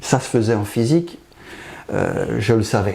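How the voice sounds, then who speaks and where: A man speaks fairly slowly over noticeable background noise. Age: 60s. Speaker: pathologist. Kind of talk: interview.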